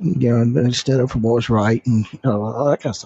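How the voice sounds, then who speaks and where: Talking at a fairly quick pace, a man speaks with a Southern US accent. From US South, North Carolina. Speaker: listener and commenter. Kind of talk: casual chat. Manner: halting.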